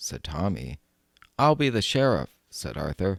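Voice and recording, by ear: The speaker reads aloud in a natural voice over a quiet background.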